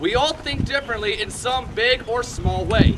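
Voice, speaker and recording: Lively intonation at a fairly slow pace, with noticeable background noise. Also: man. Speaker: ministry speaker giving a message. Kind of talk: sermon-style testimony talk to a live audience. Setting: outdoors at an airsoft field.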